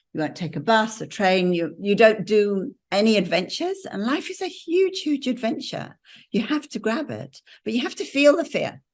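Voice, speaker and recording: Speaking with an English accent, a woman with a fairly high, somewhat breathy voice keeps a moderate pace while her pitch swings very widely. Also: quiet background. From England. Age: 70s. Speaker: mentor and business coach. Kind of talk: casual conversation with an audience.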